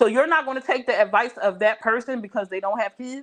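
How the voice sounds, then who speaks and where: A woman talks loudly in a high pitch. Her pace is fairly quick. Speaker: live stream host. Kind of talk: casual chat.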